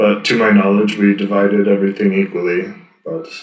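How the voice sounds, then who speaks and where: Using a put-on character voice, a man speaks fairly low and fairly quickly with fairly even intonation and a slight echo. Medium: actual play. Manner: formal, archaic phrasing; terse, guarded.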